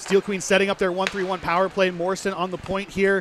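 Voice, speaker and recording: Noticeable background noise sits behind a man speaking in a high pitch. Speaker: ice hockey color commentator. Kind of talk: live commentary. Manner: animated.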